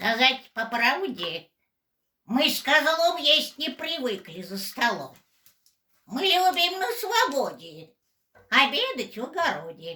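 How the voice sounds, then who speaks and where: In a put-on character voice, a female-sounding speaker uses a high pitch with very wide pitch swings, moving at a fairly slow pace with long, frequent pauses. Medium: audio drama.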